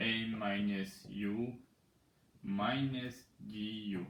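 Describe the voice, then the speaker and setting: A man's fairly low-pitched voice with fairly even intonation and audible room echo. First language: Persian. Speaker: mathematics teacher. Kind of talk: tutorial. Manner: halting.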